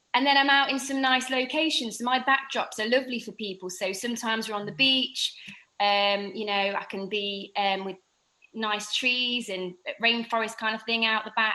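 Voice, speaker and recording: Against a quiet background, a woman with an English accent speaks at a moderate pace in a fairly high pitch, with ordinary pitch variation and a bright, sharp tone. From England. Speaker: fitness instructor with Crohn's disease. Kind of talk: podcast interview.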